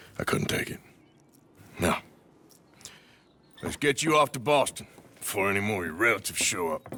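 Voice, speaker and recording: A man does a raspy, put-on character voice at a fairly low pitch with lively intonation. He moves at a fairly quick pace but takes long, frequent pauses. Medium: video game. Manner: gruff.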